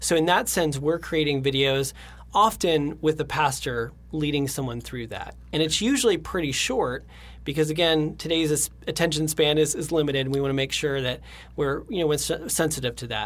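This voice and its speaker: A somewhat breathy man talks at a moderate pace, his fairly high pitch showing ordinary variation. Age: 30s. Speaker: creative director at a design agency. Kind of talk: interview.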